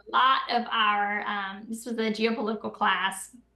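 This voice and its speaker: A woman in a Southern US accent speaks at a fairly high pitch with flat, monotone intonation. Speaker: political commentator. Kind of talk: interview conversation. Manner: loud.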